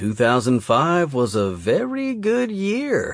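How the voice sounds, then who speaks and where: A man drawls at a very slow pace in a high-pitched, put-on character voice. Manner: slow drawl; smug, teasing.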